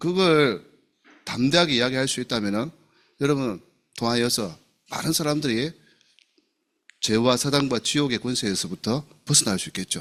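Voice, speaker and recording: With a Gyeongsang accent, the speaker sounds animated, with lively intonation, a moderate pace and long, frequent pauses. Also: man, medium pitch for a man. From South Gyeongsang, Namhae county, Korea. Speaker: pastor. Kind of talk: sermon.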